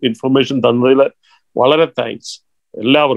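A man's fairly high voice in a dry sound with no echo over a quiet background. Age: 70s. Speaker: audience member. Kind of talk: audience thank-you remarks. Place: home room. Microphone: video call.

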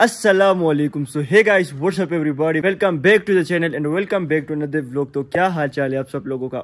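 A man talks against a quiet background. He barely pauses at all. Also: ordinary pitch variation. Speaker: vlogger. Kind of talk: casual vlog chat. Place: garden. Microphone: phone near.

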